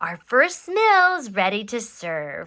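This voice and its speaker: A woman performs a put-on character voice pitched high. Her pitch swings very widely. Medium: read story.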